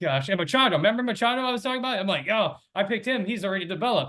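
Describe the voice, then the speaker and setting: A man talks loudly at a very fast pace. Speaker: fantasy baseball league panelist. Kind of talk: casual chat.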